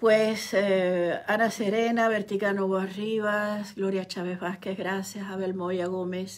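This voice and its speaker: Over noticeable background noise, a woman speaks at a very slow pace with hardly any pauses, her medium pitch flat and monotone. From Cuba. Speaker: writer and online commentator. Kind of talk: live stream monologue.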